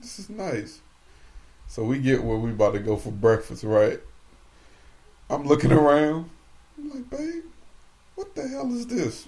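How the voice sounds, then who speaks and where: A man at a fairly slow pace, with big swings in loudness and long, frequent pauses. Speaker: podcast co-host. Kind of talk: casual chat. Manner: animated.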